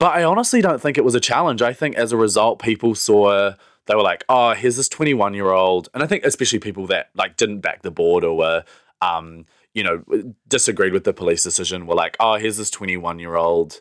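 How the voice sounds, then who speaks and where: The speech moves at a fairly quick pace with a New Zealand accent and lively intonation. The recording is very clean with a silent background, dry and close with no echo. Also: man, fairly low pitch for a man. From New Zealand, Wellington. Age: 20s. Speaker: pride festival director. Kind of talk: casual interview chat.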